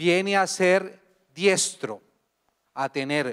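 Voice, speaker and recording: A man speaks with a Colombian accent. His pitch variation is ordinary. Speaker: international organization expert, academic speaker. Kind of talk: conference talk.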